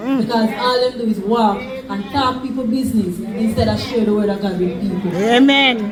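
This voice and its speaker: Over crowd noise in the background, a woman with a fairly high pitch speaks at a moderate pace with fairly even intonation and hardly any pauses. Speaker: preacher. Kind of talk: sermon.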